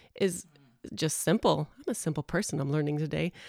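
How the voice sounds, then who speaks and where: The voice comes in a Texan accent, dry and close with no echo. The recording is very clean, with a silent background. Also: woman. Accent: Texan, noticeable. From Texas. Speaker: preschool teacher. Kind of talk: podcast interview.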